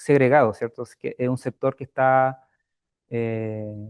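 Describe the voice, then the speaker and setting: The man is soft-spoken. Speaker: housing researcher. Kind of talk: academic Q&A answer. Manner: hesitant, many fillers.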